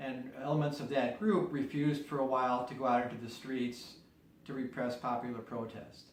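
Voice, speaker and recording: This man has an American accent and a medium pitch with fairly even intonation. Noticeable background noise is present. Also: moderate pace. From US Midwest, Chicago area. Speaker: peace activist. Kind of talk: interview. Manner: measured, explanatory.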